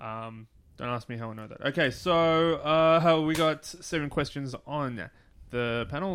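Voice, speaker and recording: This man's voice sits fairly high in pitch, with ordinary pitch variation. It is a normal speaking voice. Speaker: podcast host. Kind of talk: casual chat.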